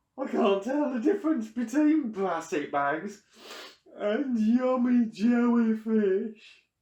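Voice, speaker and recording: This is a put-on character voice. It sits fairly high in pitch. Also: fairly slow pace. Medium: read story. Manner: complaining, sad.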